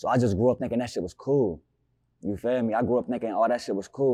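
This man has an American accent and a medium pitch. His intonation is fairly even, and the background is quiet. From Newark, Ohio. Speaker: rapper. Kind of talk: interview. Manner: halting.

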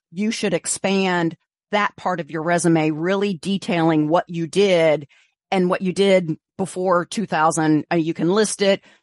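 A woman with an unremarkable speaking voice talks at a fairly slow pace in a fairly low pitch, with fairly even intonation, a dry, close sound with no echo and a quiet background. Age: 50s. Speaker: recruiter. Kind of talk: interview.

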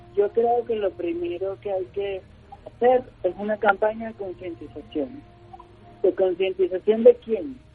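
Music plays behind a man speaking at a fairly slow pace. His pitch is high, with lively intonation. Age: 30s. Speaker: motivational speaker and organizational consultant. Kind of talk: radio interview. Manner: halting, many fillers.

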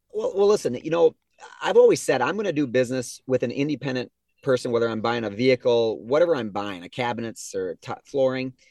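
Speaking very fast with lively intonation, a man with an Upper Midwest accent comes across in a dry, close sound with no echo. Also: medium pitch for a man. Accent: Upper Midwest (Minnesota). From southern Minnesota. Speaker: appliance store co-owner. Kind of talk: casual interview.

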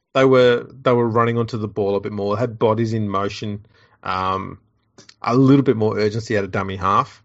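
A man speaks with an Australian accent at a fairly quick pace. His intonation stays fairly even. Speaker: podcast host. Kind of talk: casual comedic chat.

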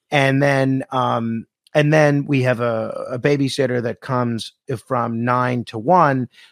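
A plain, everyday voice at a fairly slow pace with fairly even intonation. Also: man, medium pitch for a man. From New York City, Staten Island. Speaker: radio host. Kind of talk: casual chat.

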